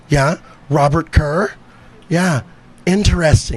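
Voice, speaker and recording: There is noticeable noise in the background. The speech moves at a moderate pace. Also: man. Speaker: stand-up comedian. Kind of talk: stand-up. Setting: stage with audience.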